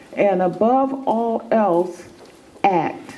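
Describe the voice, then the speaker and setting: A woman speaks at a medium pitch with ordinary pitch variation. Room echo is audible, and background noise is noticeable. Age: 70s. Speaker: former health food store owner. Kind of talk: motivational talk.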